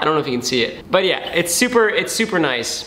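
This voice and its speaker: In a room with audible echo and light background noise, a man speaks at a very fast pace. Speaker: vlogger doing sponsor read. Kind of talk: ad read in casual vlog. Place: home room. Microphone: camera far.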